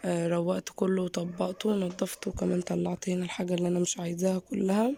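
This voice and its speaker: Noticeable background noise accompanies this recording. A woman speaks at a fairly slow pace. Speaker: lifestyle vlogger. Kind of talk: vlog narration. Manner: casual.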